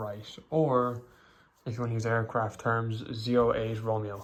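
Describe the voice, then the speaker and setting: A man speaks at a fairly slow pace with an Irish accent. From Ireland. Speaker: hobbyist YouTuber. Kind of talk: casual show-and-tell video. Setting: bedroom. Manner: hesitant, many fillers.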